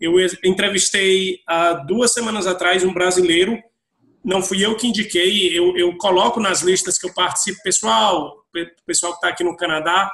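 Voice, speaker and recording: A high-pitched man with a Brazilian accent, a bright, sharp tone, fairly even intonation, and a moderate pace. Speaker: IT professional working abroad. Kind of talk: panel discussion.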